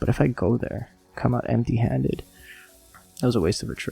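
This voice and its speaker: A man speaking at a fairly quick pace, pitch swinging very widely, music playing in the background. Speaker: podcast host. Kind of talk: casual monologue.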